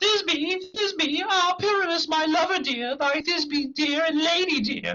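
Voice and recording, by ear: In a put-on character voice, the speaker sounds squeaky at an extremely high pitch, moving at a moderate pace with hardly any pauses.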